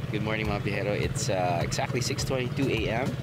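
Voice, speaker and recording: A man talks at a very slow pace with ordinary pitch variation. The sound is dry with no echo, set against loud background noise. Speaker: travel show host. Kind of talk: casual travel vlog chat. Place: garden.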